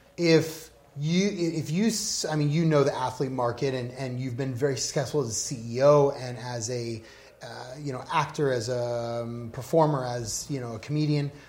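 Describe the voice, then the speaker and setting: Over noticeable background noise, a man speaks at a moderate pace in a medium pitch with ordinary pitch variation. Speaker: podcast host. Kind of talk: interview.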